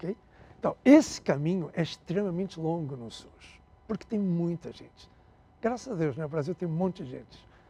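With a European Portuguese accent, a man talks at a moderate pace in a dark, mellow tone that sits high for a man, his intonation lively and his loudness swinging greatly. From Portugal, raised in Angola. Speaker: health tech CEO. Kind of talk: interview. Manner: halting.

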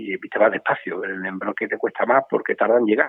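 A man's very fast delivery. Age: 50s. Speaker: bull breeder. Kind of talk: interview. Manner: halting, many repetitions.

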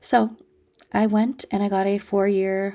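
With a Canadian accent, a woman talks at a fairly slow pace and medium pitch in a very clean recording with a silent background. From Ontario, Canada (Toronto area). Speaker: podcast host and energetics coach. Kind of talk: personal storytelling monologue. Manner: animated.

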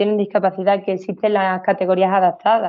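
A woman speaks at a medium pitch. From Andalusia, Seville. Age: 20s. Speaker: adaptive CrossFit athlete. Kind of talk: interview. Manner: hesitant, many repetitions and fillers.

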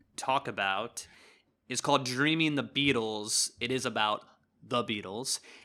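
With a normal speaking voice, a man talks at a fairly slow pace and medium pitch, using ordinary pitch variation. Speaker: podcast co-host. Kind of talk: casual chat. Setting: remote recording.

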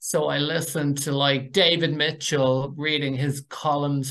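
With a Dublin accent, a man speaks at a moderate pace in a fairly high pitch and a monotone, flat intonation. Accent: Dublin Irish. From Ireland, North Dublin. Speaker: university program director. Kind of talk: interview.

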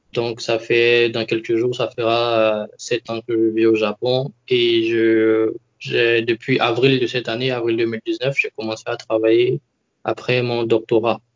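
Very slow delivery in a flat monotone. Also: man, medium pitch for a man. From Ivory Coast. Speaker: engineer with a doctorate. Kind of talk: interview.

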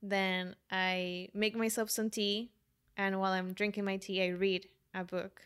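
In a very clean recording with a silent background, a woman with a Spanish accent speaks at a fairly slow pace in a medium pitch, her intonation monotone and flat. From Colombia. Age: 20s. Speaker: life coach. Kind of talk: casual chat.

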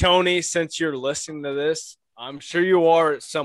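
The sound is dry and close with no echo as a man talks at a moderate pace in a plain, everyday voice with ordinary pitch variation. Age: 20s. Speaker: podcast co-host, farmer. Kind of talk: casual chat. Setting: workshop.

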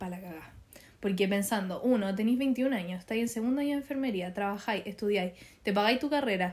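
With a Chilean accent, the somewhat breathy voice moves at a fairly quick pace and shows ordinary pitch variation. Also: woman, medium pitch for a woman. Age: 20s. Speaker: young mother and nursing student. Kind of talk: casual chat.

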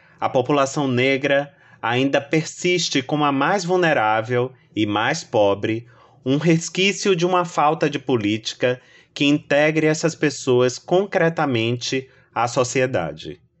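A plain, everyday voice speaks at a fairly slow pace, with ordinary pitch variation and very even loudness. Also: man, fairly high pitch for a man. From Brazil, Salvador, Bahia. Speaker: novelist. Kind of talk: first-person narration.

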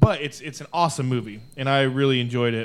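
A man speaks at a fairly quick pace in an ordinary speaking voice. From Arizona. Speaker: podcast co-host. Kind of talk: casual chat.

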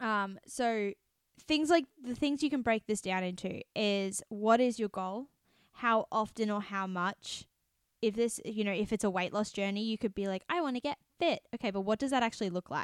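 Speaking at a moderate pace with an Australian accent, the voice comes through dry and close with no echo on a very clean recording with a silent background. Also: woman, fairly high pitch for a woman, ordinary pitch variation. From Australia, city. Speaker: podcast host. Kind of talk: casual chat.

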